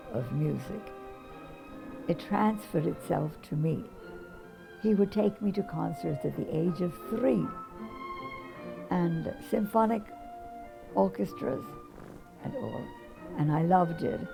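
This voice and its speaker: Music plays behind a woman who speaks at a very slow pace with long, frequent pauses. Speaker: pianist. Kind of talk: interview storytelling.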